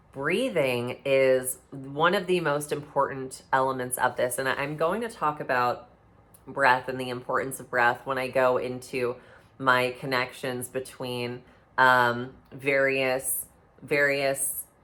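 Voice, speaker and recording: Bright, sharp tone at a fairly slow pace, with fairly even intonation and audible room echo. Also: woman, very deep, low pitch for a woman. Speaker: intuitive and mystic teacher. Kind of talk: lecture. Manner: halting with many fillers.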